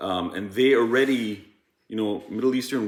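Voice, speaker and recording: A man at medium pitch, with fairly even intonation and a moderate pace, against audible room echo. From Iran. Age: 40s. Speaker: podcast host. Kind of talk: casual chat.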